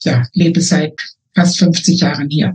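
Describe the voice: The voice is husky with a rough edge and a slightly mellow tone, moving at a fairly slow pace with little pitch movement. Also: woman, low pitch for a woman.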